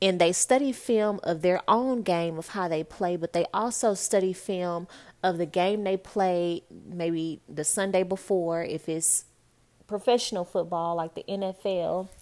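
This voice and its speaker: A woman with an American accent talks in an ordinary speaking voice at medium pitch and a fairly slow pace. Pitch variation is ordinary, and the recording is very clean with a silent background. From Texas (Dallas). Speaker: podcast host, motivational speaker. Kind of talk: casual motivational monologue.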